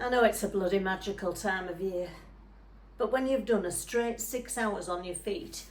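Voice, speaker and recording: The speaker talks with a northern English accent and ordinary pitch variation. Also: woman. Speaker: stage actor performing a monologue. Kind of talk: theatre monologue. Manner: conversational, chatty, wry.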